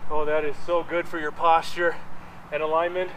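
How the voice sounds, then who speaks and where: Fairly slow male speech over a light layer of background noise. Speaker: fitness instructor. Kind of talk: guided workout class, cueing yoga flows and reps in real time. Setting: home studio video workout. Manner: a bit out of breath, panting while exerting himself. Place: garden.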